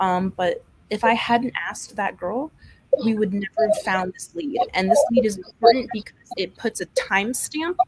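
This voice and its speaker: Soft-spoken and fairly high-pitched, a woman talks at a moderate pace with ordinary pitch variation and big swings in loudness, the sound dry and close with no echo. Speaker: true crime youtuber. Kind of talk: casual chat.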